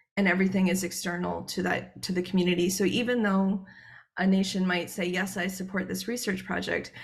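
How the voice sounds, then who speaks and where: Someone with a Canadian accent speaks at a fairly quick pace, with audible room echo. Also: woman. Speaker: researcher. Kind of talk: conference presentation. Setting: joining a conference online. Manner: fast; hesitant, many filler words.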